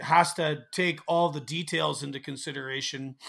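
With a Canadian accent, a man speaks in a fairly high voice. His tone is bright and sharp, and his intonation is fairly even. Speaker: truck driver and podcaster. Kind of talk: casual chat.

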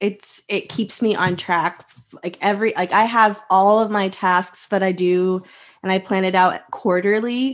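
Against a quiet background, a woman with an American accent talks fairly slowly at a medium pitch. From Texas. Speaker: teacher and online resource seller. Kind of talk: interview.

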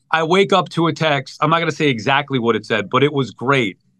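A man talks with a Long Island accent. His pace is fairly quick. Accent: New York (Long Island). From Long Island, New York. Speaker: sports radio host. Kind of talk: casual chat.

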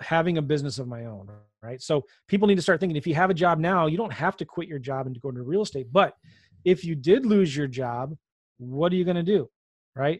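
Over a quiet background, a man speaks in an ordinary speaking voice with a General American accent. His pitch is fairly high and his intonation lively. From Southern California, moved a lot. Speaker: real estate investor and podcaster. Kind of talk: interview conversation.

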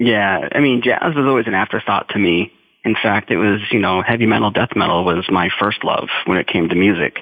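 At a fairly quick pace, a man talks in a fairly low pitch with a normal speaking voice and ordinary pitch variation. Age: 30s. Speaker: jazz drummer and teacher. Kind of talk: interview.

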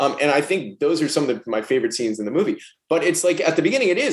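This man has an American accent. His pace is very fast. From New York. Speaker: film director. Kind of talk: casual chat.

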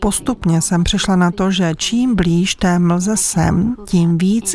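Very slowly, a woman at a medium pitch speaks with fairly even intonation over noticeable background noise. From northern Vietnam. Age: young. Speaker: documentary film director. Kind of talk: interview.

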